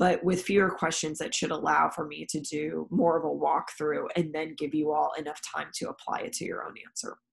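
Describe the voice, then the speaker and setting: Here a woman talks with an American accent. Her pace is fairly quick, with hardly any pauses. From California. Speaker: university professor. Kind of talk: recorded class announcement. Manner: frequent fillers (um).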